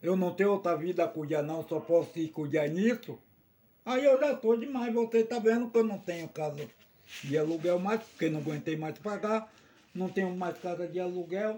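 The speaker is a man with a high pitch. He talks at a moderate pace with lively intonation. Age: 70s. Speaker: samba de roda master. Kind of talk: casual chat. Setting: at his samba venue.

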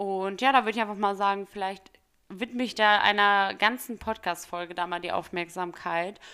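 In a very clean recording with a silent background, a woman of medium pitch speaks at a moderate pace with a bright, sharp tone and fairly even intonation. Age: 20s. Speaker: podcast host and student. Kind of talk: casual solo Q&A podcast. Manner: chatty with fillers.

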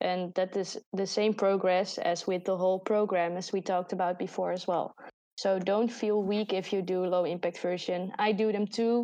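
Speaking with a Dutch accent, a woman uses a medium pitch, a dark, mellow tone and monotone, flat intonation at a moderate pace. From Netherlands. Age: 20s. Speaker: podcast host and student. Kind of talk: casual chat.

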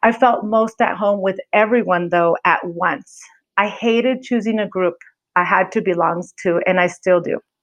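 A woman with an American accent has an ordinary speaking voice, with a medium pitch, ordinary pitch variation, very even loudness and a moderate pace. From California. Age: 40s. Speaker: podcast host. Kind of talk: solo podcast intro monologue.

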